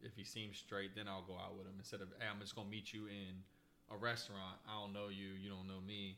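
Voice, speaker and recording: A man's bright, sharp, fairly low voice, very fast and monotone with flat intonation. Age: 30s. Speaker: podcast co-host. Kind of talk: casual chat.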